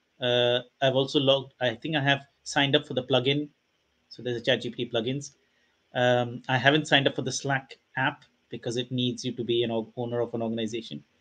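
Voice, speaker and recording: A man talks at a fairly quick pace in a monotone, with flat intonation. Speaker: meetup co-host. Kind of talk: casual introduction chat. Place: home room. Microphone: headset.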